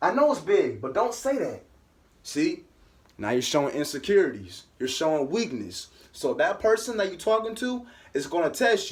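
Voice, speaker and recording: A man speaks in a high voice with very wide pitch swings and big swings in loudness. His tone is animated. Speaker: vlogger giving life advice. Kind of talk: casual motivational talk to camera.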